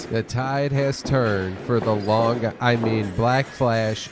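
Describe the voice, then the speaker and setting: At a very slow pace, a man speaks at medium pitch with noticeable background noise behind him. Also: very even loudness. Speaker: wrestling commentator. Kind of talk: live color commentary. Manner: excited.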